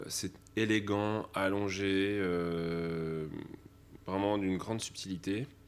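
A man with a fairly low pitch and ordinary pitch variation. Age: young. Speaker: sommelier. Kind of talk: interview testimony.

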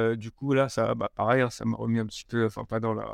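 A man's voice in a very clean recording, dry and close with no echo over a silent background. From Paris region, France. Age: 30s. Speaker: entrepreneur. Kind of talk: interview. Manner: halting, many repetitions and fillers.

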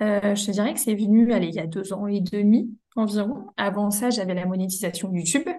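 The woman's somewhat breathy voice moves at a fairly quick pace, its intonation fairly even. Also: medium pitch for a woman. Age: 20s. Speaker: content creator and freelance social media manager. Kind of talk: casual interview.

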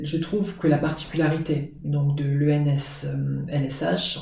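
The man's tone is dark and mellow, with a somewhat breathy quality. His voice carries audible room echo. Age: 20s. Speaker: teacher and graduate student. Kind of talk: interview.

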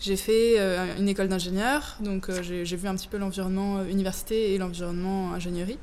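Audible echo from the room fills the recording. The talking keeps a moderate pace. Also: woman. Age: 20s. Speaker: startup founder. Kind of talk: interview.

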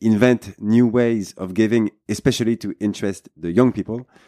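With a French accent and a fairly low pitch, a man talks at a fairly quick pace in a dark, mellow tone with fairly even intonation, recorded dry and close with no echo in a very clean recording with a silent background. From France. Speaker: podcast host. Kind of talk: podcast interview.

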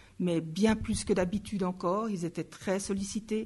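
This woman's voice is somewhat breathy, at a medium pitch. Her intonation stays fairly even. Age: 50s. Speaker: nursing lecturer. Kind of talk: interview.

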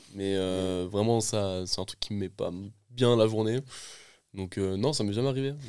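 A man's fairly low voice at a fairly slow pace, with long, frequent pauses and ordinary pitch variation, on a very clean recording with a silent background. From France, Essonne (Paris region). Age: 20s. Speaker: film director. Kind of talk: casual chat.

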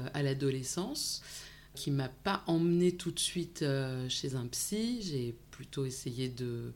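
Speaking very slowly, a woman uses a very deep, low voice with ordinary pitch variation. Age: 40s. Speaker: psychologist and psychoanalyst, online video creator. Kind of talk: interview about personal career.

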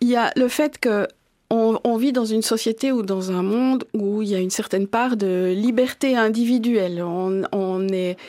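With ordinary pitch variation and a fairly high pitch, a woman talks in an ordinary speaking voice. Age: 50s. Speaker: farmers' association president. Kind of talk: interview.

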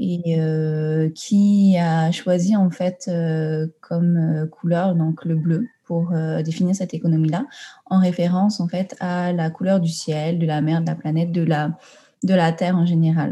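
Her voice has a dark, mellow tone and a fairly low pitch, and this woman's pitch barely moves. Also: fairly slow pace.

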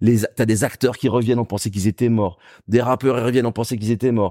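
A man's medium-pitched voice with fairly even intonation, dry and close with no echo, on a very clean recording with a silent background. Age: 30s. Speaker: journalist and DJ. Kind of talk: casual interview chat. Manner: casual, halting with repetitions.

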